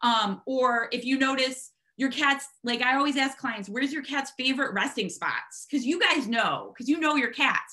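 A woman speaks at a moderate pace in a high-pitched, raised and projected voice with a bright, sharp tone over a quiet background. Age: 30s. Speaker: veterinary technician and cat behavior consultant. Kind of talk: online lecture with slides. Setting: online video conference. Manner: animated. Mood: warm, upbeat. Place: home room. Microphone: video call.

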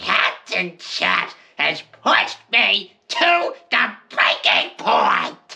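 A cartoonish character voice speaks at a high pitch. The pace is very slow. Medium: puppet show. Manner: scheming, self-talking.

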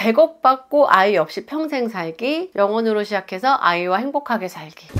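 Over a quiet background, a woman with a fairly high pitch speaks at a moderate pace, her pitch swinging very widely. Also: big swings in loudness. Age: 40s. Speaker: vlogger. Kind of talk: casual talk to camera, reading comments aloud. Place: home room. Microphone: lapel.

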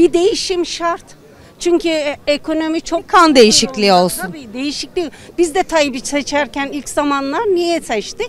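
The sound is dry with no echo, the pace fairly slow, and there is light background noise. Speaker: interviewee. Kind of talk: interview answer. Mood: frustrated, complaining. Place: street. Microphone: handheld.

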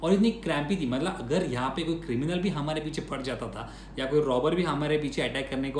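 Heard with audible room echo and light background noise, a man speaks at a moderate pace. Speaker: urban exploration vlogger. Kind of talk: casual vlog chat. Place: home room.

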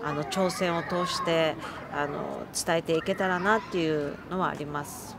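Over noticeable background noise, a woman talks with fairly even intonation in a dry sound with no echo. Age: 40s. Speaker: amputee marathon runner; interviewee. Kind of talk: interview testimony. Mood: earnest, emotional recollection. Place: open country.

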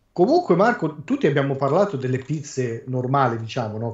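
A man speaks with lively intonation in a somewhat breathy voice. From Ancona, Marche. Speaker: podcast guest. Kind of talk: casual chat.

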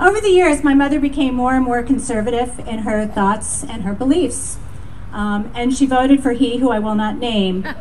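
Over light background noise, a woman with a high pitch speaks at a moderate pace with ordinary pitch variation. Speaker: event organizer and emcee. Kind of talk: rally speech. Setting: outdoors. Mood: earnest, rousing close. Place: street.

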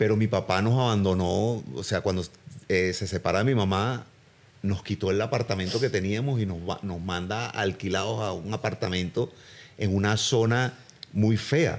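The man's voice sits fairly low in pitch. His pitch varies in an ordinary way. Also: moderate pace. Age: 50s. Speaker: actor. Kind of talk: casual chat. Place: home room. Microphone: studio mic.

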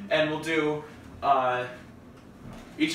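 There is audible room echo and light background noise as a man speaks at a fairly slow pace with fairly even intonation. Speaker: family video host. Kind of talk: casual vlog chat. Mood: playful, joking. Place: kitchen.

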